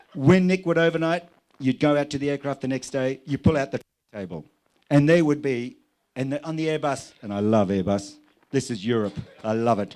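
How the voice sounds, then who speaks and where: A man with an Australian accent at a fairly high pitch, lively intonation, and a fairly quick pace broken by long, frequent pauses. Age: 60s. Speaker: airline pilot. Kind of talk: wedding speech. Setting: wedding reception with audience. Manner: animated.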